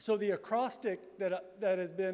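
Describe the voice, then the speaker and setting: This man's voice sits high for a man and moves at a fairly slow pace. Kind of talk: lecture. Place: hall.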